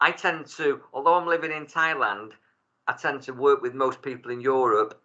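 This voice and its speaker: A man's bright, sharp tone at a moderate pace. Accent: Manchester. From Salford, Greater Manchester, England. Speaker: tarot reader and life coach. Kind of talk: casual chat. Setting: video call.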